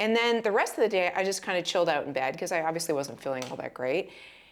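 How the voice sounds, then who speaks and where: A woman speaks in a fairly low pitch with an animated tone and lively intonation. The recording is very clean, with a silent background. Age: 50s. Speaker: lifestyle vlogger. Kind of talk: casual chat.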